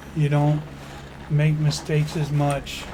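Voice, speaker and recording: A fairly high-pitched man with a Chicago accent at a fairly slow pace, with audible room echo and noticeable background noise. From Chicago area, US Midwest. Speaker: gaming YouTuber, former railroad worker. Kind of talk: game tutorial. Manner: casual, folksy.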